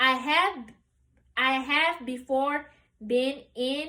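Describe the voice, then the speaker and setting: Raising and projecting her voice, a woman with an American accent speaks at a high pitch with a bright, sharp tone. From US South, Memphis, Tennessee. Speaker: college student. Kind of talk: practice speech.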